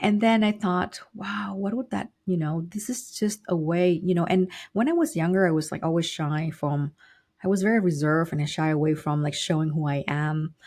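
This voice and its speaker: A woman's somewhat breathy, fairly low-pitched voice with a Vietnamese accent, over a quiet background. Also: ordinary pitch variation, moderate pace. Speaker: business consultant and professor. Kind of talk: interview.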